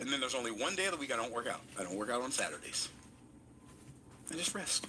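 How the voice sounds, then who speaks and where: Over noticeable background noise, a man talks at a very fast pace in a medium pitch with lively intonation and an animated tone. His loudness stays very even. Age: 60s. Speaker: motivational speaker. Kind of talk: motivational talk.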